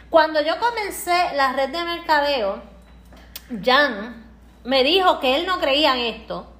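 A woman's high-pitched voice with very wide pitch swings, a very slow pace and long, frequent pauses, plus audible room echo and noticeable background noise. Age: 30s. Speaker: entrepreneur and co-host. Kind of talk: motivational live stream talk.

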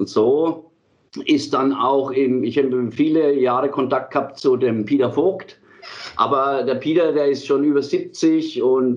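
Speaking at a fairly slow pace, a man with a fairly high pitch keeps very even loudness and fairly even intonation. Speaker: metal band singer and leader. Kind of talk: casual interview. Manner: halting.

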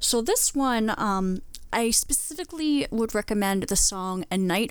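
A woman with an American accent speaks in an ordinary speaking voice at a medium pitch and a fairly slow pace. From southwestern Pennsylvania. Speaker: podcast guest. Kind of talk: casual chat. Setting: video call.

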